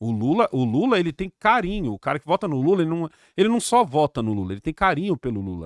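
A man talks at a very fast pace in an animated tone, with a fairly high pitch and very wide pitch swings. The sound is dry with no echo, over a quiet background. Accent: Brazilian. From Brazil. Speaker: YouTuber. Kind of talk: casual chat. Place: studio. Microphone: studio mic.

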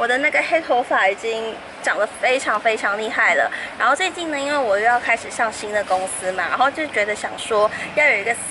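Over noticeable background noise, a woman talks fairly quickly. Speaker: vlogger. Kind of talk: casual vlog chat. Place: street. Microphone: phone near.

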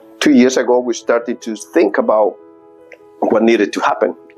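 Faint music plays in the background. Over it, a man speaks. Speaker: parish priest. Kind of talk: explanatory talk to parishioners. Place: empty room. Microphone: lapel.

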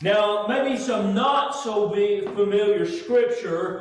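A man talks at a fairly slow pace. Strong room echo surrounds his voice. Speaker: pastor preaching. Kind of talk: sermon. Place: church.

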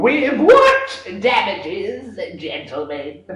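A put-on character voice from a man, very slow in pace, with slight echo. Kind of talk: courtroom speech. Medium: stage play.

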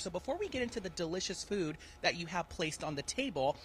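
A man's bright, sharp tone at a very fast pace. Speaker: TV field reporter. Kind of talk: live news interview. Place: cafe. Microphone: handheld.

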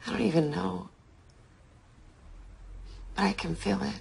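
A woman's put-on character voice, medium in pitch and fairly slow, with a husky, rough edge and vocal fry. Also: ordinary pitch variation.

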